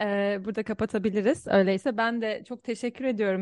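In an ordinary speaking voice, a woman of medium pitch talks at a moderate pace with fairly even intonation. The sound is dry and close with no echo, against a quiet background. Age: 20s. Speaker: podcast co-host and academic. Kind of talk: podcast interview.

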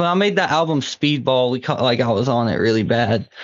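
A man with an American accent and an unremarkable speaking voice, medium in pitch with ordinary pitch variation. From Southwest Virginia. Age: 20s. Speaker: rapper. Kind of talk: casual chat. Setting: phone call.

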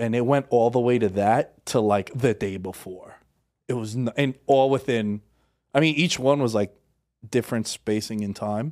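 With ordinary pitch variation, the voice keeps a moderate pace. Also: man. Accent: New York. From Queens, New York City. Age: 30s. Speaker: podcast host, guest. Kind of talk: casual chat.

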